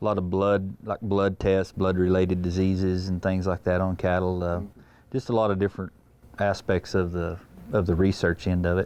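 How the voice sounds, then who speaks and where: With a West Texas accent, a man speaks in a very deep, low, monotone voice at a moderate pace over a quiet background. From Texas Panhandle, Wheeler. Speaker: feed yard assistant manager. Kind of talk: interview. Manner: halting.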